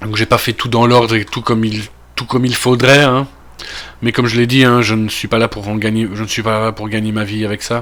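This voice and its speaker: A man's medium-pitched, monotone voice with a Belgian accent, at a fairly quick pace. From Belgium. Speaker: gaming youtuber. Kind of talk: let's play commentary. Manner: casual, with many fillers.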